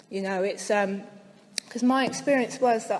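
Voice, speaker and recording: The speaker has a slight West Country accent and a moderate pace. Noticeable background noise runs underneath. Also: woman. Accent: slight West Country twang. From West Country, near Bristol. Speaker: speaker at recovery convention. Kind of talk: recovery share to audience.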